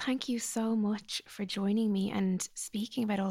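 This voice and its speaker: A woman with an Irish accent speaks at a medium pitch and a moderate pace, somewhat breathy. The recording is very clean, with a silent background. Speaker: psychologist podcast host. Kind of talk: interview, scripted intro and advice.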